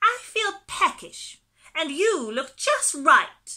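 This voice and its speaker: A woman performs a put-on character voice at an extremely high pitch, with very wide pitch swings and a very slow pace. The recording is very clean, with a silent background. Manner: sinister, menacing.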